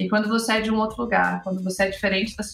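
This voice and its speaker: A woman at medium pitch, very fast pace, monotone and flat, with noticeable background noise. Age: 30s. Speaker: advertising creative director. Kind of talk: podcast interview.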